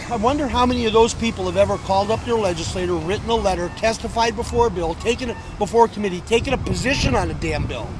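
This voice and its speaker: A man with an American accent talks at a very fast pace in an animated tone, with hardly any pauses, over noticeable background noise. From US West Coast, San Francisco Bay Area. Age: 60s. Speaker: rally attendee interviewed on the street. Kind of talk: street interview, heated discussion. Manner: animated, emphatic.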